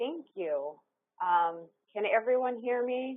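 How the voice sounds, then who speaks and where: Very slow, soft-spoken speech from a woman with a fairly high pitch and very wide pitch swings. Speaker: education researcher and evaluator. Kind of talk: webinar presentation. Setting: webcast. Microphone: too quiet at first.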